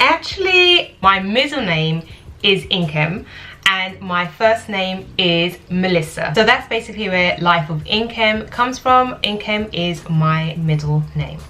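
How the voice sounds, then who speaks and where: Over noticeable background noise, a woman with a London accent speaks at a medium pitch and fairly slow pace, with ordinary pitch variation. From London, UK. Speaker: lifestyle vlogger. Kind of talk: casual Q&A vlog.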